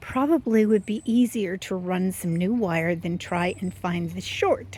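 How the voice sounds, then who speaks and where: A woman talks at a fairly slow pace in a somewhat breathy voice with ordinary pitch variation. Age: 70s. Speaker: gardening vlogger. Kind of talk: casual vlog narration. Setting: outdoors. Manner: hesitant, many fillers.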